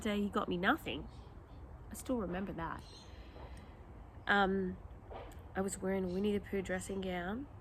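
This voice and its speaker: With long, frequent pauses, a woman speaks at a moderate pace in a somewhat breathy voice. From Australia. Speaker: mother of eleven, homeschooling parent. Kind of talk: casual talk to camera. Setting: outdoors.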